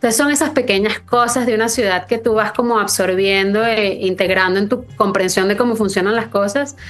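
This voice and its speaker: A woman talks at a very fast pace with ordinary pitch variation. Noticeable background noise sits behind her. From Venezuela, Caracas. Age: 30s. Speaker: writer. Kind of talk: interview. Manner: hesitant, many fillers.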